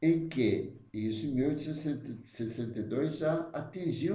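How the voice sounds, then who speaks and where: The voice is somewhat breathy and dark and mellow in tone, with audible echo from the room. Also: man. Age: 70s. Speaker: spiritist study leader. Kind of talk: religious study talk. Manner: halting.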